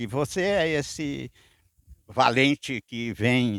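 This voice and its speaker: A man with a medium pitch and ordinary pitch variation is heard in a very clean recording with a silent background and a dry, close sound with no echo. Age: 80s+. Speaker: retired mason and local historian author. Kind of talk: interview.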